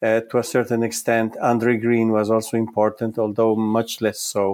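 A man with an Italian accent talks at a moderate pace. His pitch is medium and his loudness very even. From Italy. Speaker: psychoanalyst and psychology professor. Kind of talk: interview. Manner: halting, frequent repetitions.

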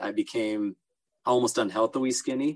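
A medium-pitched man with an American accent, moderate in pace and fairly even in intonation, with a dry, close sound and no echo. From Southern California (Los Angeles, Orange County). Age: 20s. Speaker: ultra runner. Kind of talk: casual interview.

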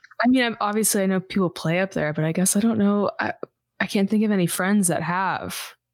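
On a very clean recording with a silent background, a woman uses a normal speaking voice at medium pitch, with ordinary pitch variation, very even loudness and a fairly quick pace. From US South, suburbs of Houston, Texas. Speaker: singer. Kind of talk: casual chat.

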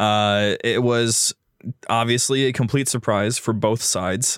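This man's recording is very clean with a silent background and a dry, close sound that has no echo. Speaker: podcast host. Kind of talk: casual chat. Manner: animated.

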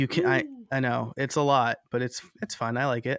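A man with an American accent has an unremarkable speaking voice at medium pitch, with ordinary pitch variation and a moderate pace. The recording is very clean, dry and close, with a silent background and no echo. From New York. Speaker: podcaster and online course creator. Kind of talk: interview.

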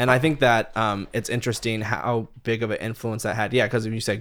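On a very clean recording with a silent background, a man of medium pitch talks at a fairly quick pace with fairly even intonation and vocal fry. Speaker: metal guitarist and music producer. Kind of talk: casual chat.

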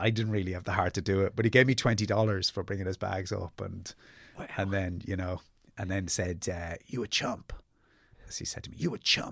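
With a South Dublin accent, a man speaks at a fairly quick pace. His pitch is fairly low and his intonation fairly even. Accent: south Dublin Irish. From Ireland, Dublin (Ballybrack). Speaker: novelist and playwright. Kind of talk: casual interview chat. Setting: studio.

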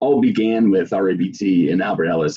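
A man's low, dark, mellow voice carries a slightly husky edge and fairly even intonation.

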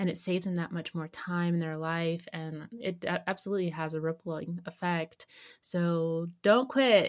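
The background is quiet as a woman speaks at a moderate pace in a fairly low pitch. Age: 30s. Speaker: podcast host. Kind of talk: casual interview. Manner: animated.

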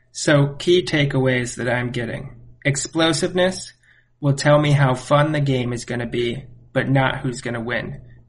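Somewhat breathy, a man at medium pitch speaks at a moderate pace with fairly even intonation. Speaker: guest co-host, friend of host. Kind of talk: casual sports chat.

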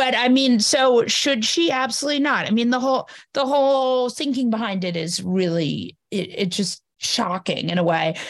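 With an American accent, a woman speaks at a high pitch and a moderate pace. Her intonation is lively, with hardly any pauses. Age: 40s. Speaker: journalist and podcaster. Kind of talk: casual interview. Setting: video call.

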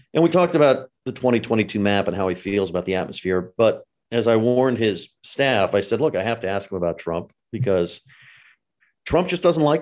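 A medium-pitched man with an American accent, very fast and lively in intonation, over a quiet background. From California. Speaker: political journalist and podcast host. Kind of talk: interview.

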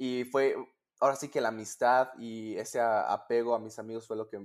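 A man with a normal speaking voice talks in a medium pitch at a moderate pace. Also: very clean recording, silent background. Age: 20s. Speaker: competitive swimmer and university student. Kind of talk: interview.

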